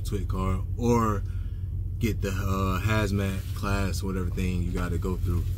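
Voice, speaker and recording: Noticeable background noise runs under a man's voice, which is recorded dry with no echo. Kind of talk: casual vlog chat. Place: car. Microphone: phone near.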